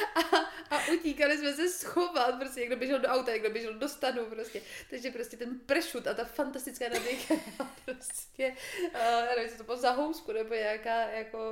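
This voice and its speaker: A woman with a high, raised, projected voice speaks at a moderate pace with lively intonation. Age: 20s. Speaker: podcast guest, host's sister. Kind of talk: casual chat.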